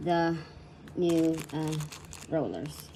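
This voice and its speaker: In a Puerto Rican accent, a woman speaks at a fairly low pitch with a dark, mellow tone. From Puerto Rico. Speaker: crafter, online shop owner. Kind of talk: DIY repair tutorial. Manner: shy.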